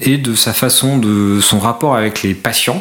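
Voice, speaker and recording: Background noise is noticeable, and the room echo can be heard. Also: man. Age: 40s. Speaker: podiatrist and orthotist. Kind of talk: interview.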